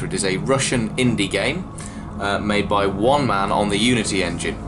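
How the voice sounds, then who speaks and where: Music in the background beneath a fairly low-pitched man at a moderate speed, his pitch variation ordinary. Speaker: gaming channel host. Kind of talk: let's play commentary. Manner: casual, chatty.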